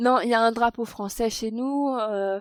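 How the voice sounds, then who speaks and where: On a very clean recording with a silent background, a woman talks at a fairly slow pace in a fairly high pitch. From France, Paris. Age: 30s. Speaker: expat interviewee. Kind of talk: podcast interview. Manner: hesitant, many fillers.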